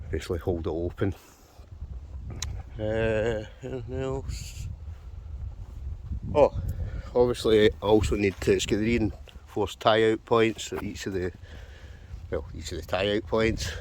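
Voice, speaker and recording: With a Scottish accent, a man talks at a fairly slow pace in a fairly low pitch, showing vocal fry and lively intonation, with long, frequent pauses. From Scotland. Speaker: wild camper, outdoor gear reviewer. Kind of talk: casual gear review talk to camera. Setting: outdoors.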